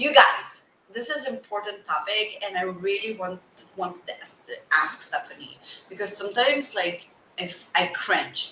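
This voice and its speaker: With a non-native accent, a woman talks at a medium pitch with lively intonation and big swings in loudness. Noticeable background noise is present. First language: not English. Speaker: podcast host, business coach. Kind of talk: interview. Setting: video call. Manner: slow.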